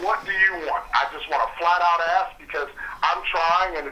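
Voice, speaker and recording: With an American accent, a man talks at a moderate pace in a high pitch over noticeable background noise. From New Jersey, East Orange. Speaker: warranty company representative. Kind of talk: heated phone argument.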